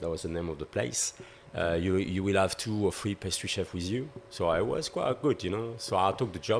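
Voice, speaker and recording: Speaking at a moderate pace with a French accent, the man has a very deep, low pitch and ordinary pitch variation. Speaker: pastry chef. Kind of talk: podcast interview. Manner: halting.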